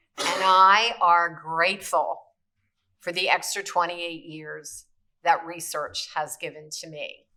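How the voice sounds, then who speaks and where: A woman's bright, sharp tone at a very slow pace, with fairly even intonation. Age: 70s. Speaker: cancer survivor, patient advocate. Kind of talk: prepared testimony. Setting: briefing room on Capitol Hill.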